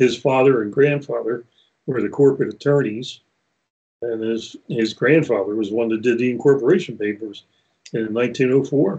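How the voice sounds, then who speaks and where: A man's dark, mellow tone at medium pitch, at a moderate pace with ordinary pitch variation. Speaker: roller coaster company owner. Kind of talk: casual interview. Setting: video call.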